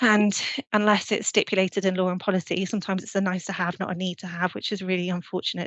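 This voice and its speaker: A woman with a British accent speaks at a medium pitch and a fairly quick pace. Her intonation is monotone and flat. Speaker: urban planning consultant. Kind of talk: webinar presentation. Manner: fast.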